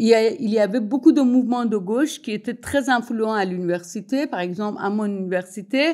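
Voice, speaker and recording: With a Persian accent, a woman speaks at a fairly quick pace with hardly any pauses, her tone dark and mellow and her pitch varying in an ordinary way. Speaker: sociologist and writer. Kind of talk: public talk. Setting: evening event with audience. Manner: halting, many hesitations.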